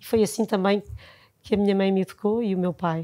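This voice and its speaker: Dark, mellow tone from a woman with fairly even intonation, over a quiet background. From Lisbon, Portugal; Portugal. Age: 50s. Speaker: nursery school founder and educator; interview guest. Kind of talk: casual interview. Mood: warm, reflective. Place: studio. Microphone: lapel.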